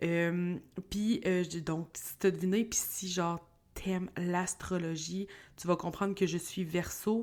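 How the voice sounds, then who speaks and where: Very slow speech from a woman with a Quebec accent, fairly low pitch, monotone, flat intonation, very clean recording with a silent background. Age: 30s. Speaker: podcast host. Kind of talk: casual solo podcast monologue. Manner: casual, hesitant with many fillers.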